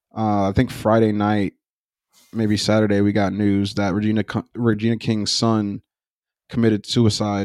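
The sound is dry and close, with no echo. The pace is moderate. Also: man. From United States. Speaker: podcast co-host. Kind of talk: casual chat. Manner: animated.

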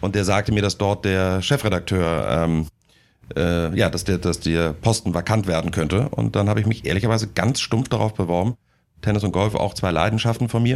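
Delivery is fairly quick with ordinary pitch variation and very even loudness. The recording is very clean, with a silent background. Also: man, very deep, low pitch for a man. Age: 30s. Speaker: deputy editor-in-chief of a sports desk. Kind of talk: casual interview. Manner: hesitant, many fillers.

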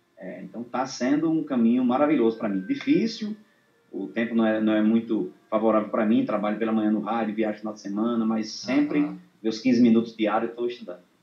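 The speaker talks at a very fast pace with fairly even intonation. The delivery is in a northeastern Brazilian accent. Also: man, medium pitch for a man. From Brazil, Northeast (Rio Grande do Norte). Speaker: accordion student and viola poet-singer. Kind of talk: interview. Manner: halting.

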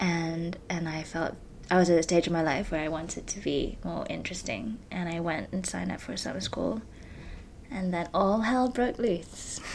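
A woman with vocal fry speaks at a moderate pace, fairly low in pitch. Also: lively intonation. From Malaysia. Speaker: actor and performance maker. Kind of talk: casual chat. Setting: home, cat in the room.

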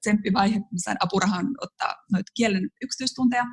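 Somewhat breathy, a woman with a medium pitch speaks at a moderate pace with fairly even intonation, in a dry, close sound with no echo. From Finland, Joensuu (eastern Finland). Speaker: photographer. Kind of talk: casual interview chat. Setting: remote recording from Paris.

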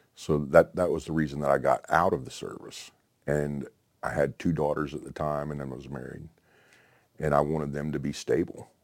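A man with a very deep, low voice and vocal fry talks at a moderate pace in a flat monotone, his loudness swinging widely. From Oklahoma. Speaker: military veteran, retired paramedic. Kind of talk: interview testimony. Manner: halting, many fillers.

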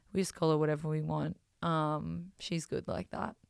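A woman with an Australian accent speaks in a very deep, low voice, recorded very cleanly over a silent background. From Australia, small coal-mining town. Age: 30s. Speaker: podcast host. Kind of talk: casual monologue. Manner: many filler words (um).

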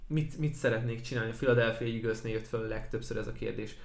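Somewhat breathy, a man talks at a very fast pace with audible room echo around him. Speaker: NFL podcast co-host and sports commentator. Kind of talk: casual sports podcast chat. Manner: hesitant, many repeated fillers.

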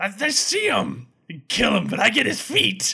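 A man does a loud put-on character voice at a moderate pace. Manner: gleeful, excited.

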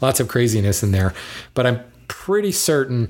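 The voice is somewhat breathy. The recording is very clean, with a silent background. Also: man. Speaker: lumber industry podcast host. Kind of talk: solo podcast monologue answering listener mail. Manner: fast; animated.

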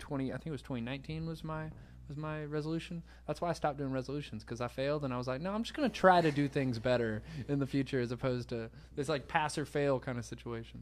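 Speaking very fast in a Southern US accent, a man with a fairly high pitch and ordinary pitch variation comes through on a very clean recording with a silent background. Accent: Southern US (Georgia). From US South, Savannah, Georgia. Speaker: musician and show host. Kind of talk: casual chat. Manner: animated.

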